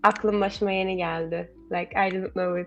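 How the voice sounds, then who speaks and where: Over music in the background, a woman speaks with a Turkish accent. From Turkey. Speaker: language teacher guest, artist. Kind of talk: casual chat.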